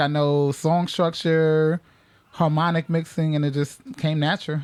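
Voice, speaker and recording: Speaking with an American accent, a man uses a fairly high, monotone, flat voice. His loudness stays very even. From New York, the Bronx. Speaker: DJ. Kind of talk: radio interview. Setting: radio studio. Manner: casual.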